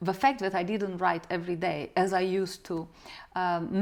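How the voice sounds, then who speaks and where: A woman's medium-pitched voice with a Romanian accent, at a moderate pace. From Moldova. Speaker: novelist, former journalist. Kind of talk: interview.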